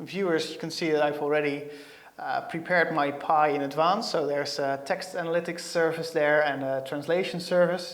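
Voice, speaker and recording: With a slight Dutch accent, a man speaks at a fairly high pitch with ordinary pitch variation. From Netherlands. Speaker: software developer; presenter. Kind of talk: tech tutorial. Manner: hesitant, many fillers. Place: studio. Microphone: lapel.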